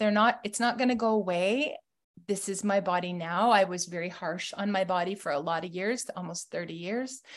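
At a moderate pace, a woman with a western Canadian accent speaks at medium pitch with ordinary pitch variation against a quiet background. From Canada. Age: 50s. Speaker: weight-loss success story guest, mother of eight. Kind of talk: personal testimony with slides. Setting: video call.

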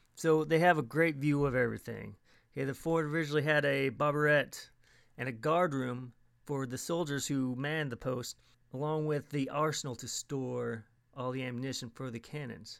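The speaker has a plain, everyday voice with fairly even intonation at a moderate pace. The recording is very clean with a silent background. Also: man, fairly high pitch for a man. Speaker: podcast host. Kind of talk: scripted podcast narration, informal travel talk. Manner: friendly, conversational.

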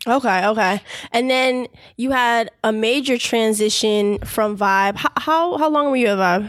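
On a very clean recording with a silent background, a woman with a plain, everyday voice speaks fairly slowly at a fairly high pitch, with ordinary pitch variation and very even loudness. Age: 20s. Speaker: podcast host. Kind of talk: interview; scripted narration.

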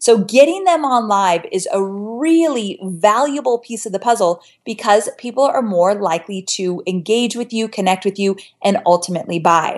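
A woman's ordinary speaking voice, fairly high-pitched, with lively intonation at a moderate pace. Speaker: online marketing expert and course creator. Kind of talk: interview, explanatory teaching.

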